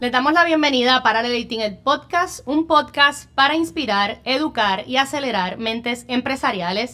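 The voice is raised and projected, with lively intonation at a moderate pace. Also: woman, high pitch for a woman. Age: young. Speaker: podcast host. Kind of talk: interview.

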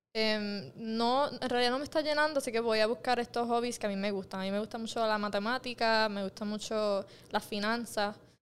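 With a Puerto Rican accent, the speaker talks at a fairly quick pace in fairly even intonation. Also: woman, fairly high pitch for a woman. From Puerto Rico, Mayagüez. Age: 20s. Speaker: entrepreneur. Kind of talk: casual interview. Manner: halting, many fillers and repetitions.

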